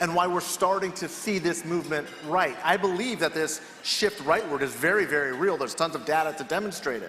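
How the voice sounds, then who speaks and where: Noticeable background noise behind a man with an American accent, a high pitch, ordinary pitch variation, and a fairly quick pace. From California. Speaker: political strategist. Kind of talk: panel discussion.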